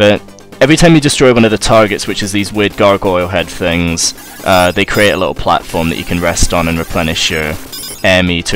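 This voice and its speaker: A man's very deep, low voice at a fairly quick pace, with ordinary pitch variation and music in the background. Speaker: gaming commentator. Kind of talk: let's play game commentary. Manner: casual, conversational.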